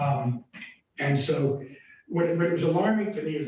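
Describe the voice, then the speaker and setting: At a fairly slow pace, a man's speech carries audible room echo. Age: 60s. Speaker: yoga and wellness center owner. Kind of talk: public comment at town meeting. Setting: town board meeting. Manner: halting.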